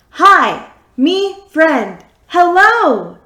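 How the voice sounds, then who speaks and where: A woman puts on a squeaky, robotic character voice at an extremely high pitch, raised and projected, with audible echo. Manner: excruciatingly loud.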